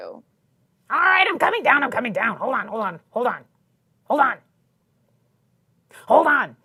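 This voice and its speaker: In a put-on character voice, a female-sounding voice speaks at a high pitch with long, frequent pauses. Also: moderate pace. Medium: actual play. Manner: cranky, exclamatory.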